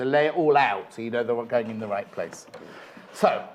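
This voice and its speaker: Over noticeable background noise, a man with a British accent talks fairly quickly at medium pitch. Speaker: shopping channel presenter. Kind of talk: live TV craft demonstration. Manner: fast; animated.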